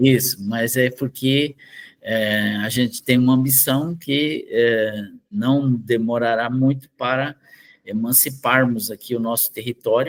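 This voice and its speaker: This man talks at a very slow pace, his medium-pitched voice holding a fairly even intonation. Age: 60s. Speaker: researcher. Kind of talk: interview.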